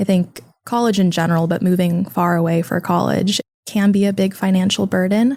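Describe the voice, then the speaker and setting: A woman with a Californian accent speaks fairly quickly in a dark, mellow, somewhat breathy tone with fairly even intonation. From California, Sacramento. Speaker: college student. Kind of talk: podcast interview.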